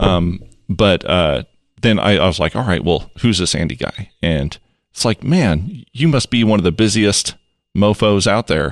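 Against a quiet background, a man with an ordinary speaking voice talks at a fairly slow pace, his fairly low pitch carrying lively intonation. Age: 40s. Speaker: podcast host. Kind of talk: casual chat.

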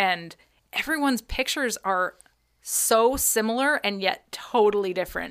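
A plain, everyday voice from a woman, fairly high in pitch with lively intonation, in a very clean recording with a silent background. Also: moderate pace. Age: 30s. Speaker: podcast co-host. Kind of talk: casual chat. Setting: studio.

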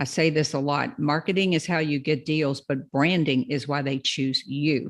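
Over a quiet background, a woman with a Kentucky accent speaks in a very deep, low voice with ordinary pitch variation. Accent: Southern US, Kentucky. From Louisville, Kentucky. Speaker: probate real estate investor. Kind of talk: interview, educational talk. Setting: video call.

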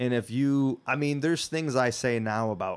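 A normal speaking voice with ordinary pitch variation and a moderate pace, in a very clean recording with a silent background. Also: man. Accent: American. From Michigan, US (Whitehall). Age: 30s. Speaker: comedian. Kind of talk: casual chat.

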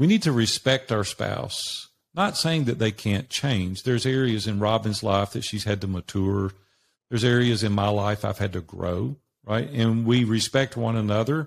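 A man at a medium pitch with a Southern US accent, moderate pace and ordinary pitch variation, on a very clean recording with a silent background. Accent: Southern American. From US South, Nashville, Tennessee. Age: 60s. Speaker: business coach. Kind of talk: interview.

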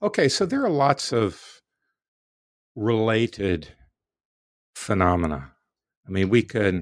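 Recorded very cleanly against a silent background, a man with an American accent speaks at a very slow pace. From US South, Florida. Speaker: philosophy professor. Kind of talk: interview.

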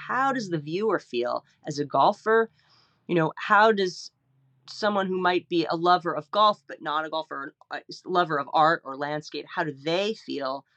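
In an American accent, a woman with a plain, everyday voice speaks at a moderate pace, her fairly low pitch carried by lively intonation in a dry, close sound with no echo. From New Jersey, New York metro area. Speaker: landscape painter. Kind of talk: interview.

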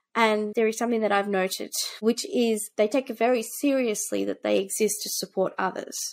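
A woman with an Australian accent speaks at a moderate pace. The recording is very clean, with a silent background. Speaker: tech startup founder and CEO. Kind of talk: interview.

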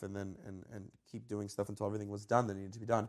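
The recording is very clean, with a silent background. A man speaks in a fairly low pitch with an American accent. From Georgia, US. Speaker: high school orchestra director. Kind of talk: casual interview. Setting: hotel room at conference in Chicago.

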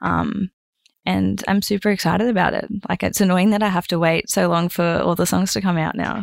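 A woman with an Australian accent at a fairly quick pace. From North Queensland, Australia (Mackay). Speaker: singer-songwriter. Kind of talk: casual chat.

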